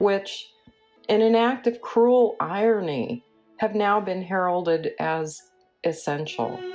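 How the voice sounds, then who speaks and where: With music in the background, a woman talks at a very slow pace using lively intonation. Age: 50s. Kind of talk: spoken word essay.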